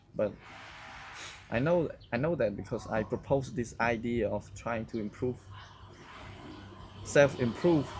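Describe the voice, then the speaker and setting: Speaking in a Cambodian accent at a fairly slow pace, a man uses medium pitch and ordinary pitch variation, with long, frequent pauses. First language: Khmer. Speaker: vlogger. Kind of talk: casual monologue to camera. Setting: outdoors. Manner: loud; halting.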